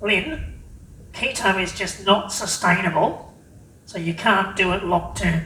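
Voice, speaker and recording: A squeaky put-on character voice at a middle pitch and a fairly slow pace. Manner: doubting, skeptical.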